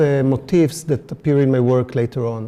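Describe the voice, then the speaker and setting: With an Israeli accent, the voice has a dark, mellow tone at a moderate pace. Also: man. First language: Hebrew. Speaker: artist. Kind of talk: artist talk. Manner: halting, many fillers.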